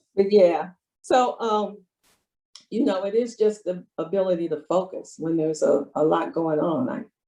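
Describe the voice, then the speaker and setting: In an American accent, a woman speaks at a medium pitch with a dark, mellow tone and lively intonation. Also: moderate pace. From US Midwest. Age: 70s. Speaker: retired public official, financial speaker. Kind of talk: interview.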